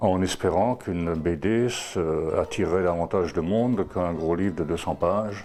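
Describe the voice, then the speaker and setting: At a fairly slow pace, a man with an Alsatian accent speaks in a very deep, low voice with ordinary pitch variation. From Alsace, France. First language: Alsatian (speaking French). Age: old. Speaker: translator. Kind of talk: interview. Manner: halting, many hesitations.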